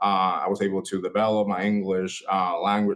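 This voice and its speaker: A man speaks fairly slowly in a Spanish accent. His pitch is fairly low. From Puerto Rico. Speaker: student outreach recruiter. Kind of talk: panel presentation. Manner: halting, many fillers.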